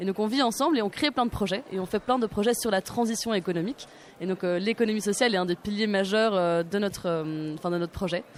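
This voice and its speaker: Very fast speech from a woman, medium in pitch, ordinary in its pitch variation. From Belgium. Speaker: student activist. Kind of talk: radio panel discussion. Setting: live radio set at a forum.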